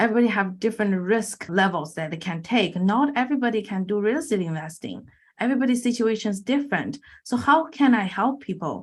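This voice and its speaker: Lively intonation and a very fast pace mark this Chinese-accented voice. It's somewhat breathy too. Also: woman, fairly high pitch for a woman. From China. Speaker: infinite banking coach and real estate investor. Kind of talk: podcast interview.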